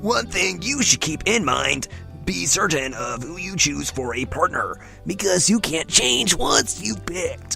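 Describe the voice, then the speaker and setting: A woman performs a put-on character voice while clear music plays in the background. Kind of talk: comic put-on voice. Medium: game stream. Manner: teacherly, announcing.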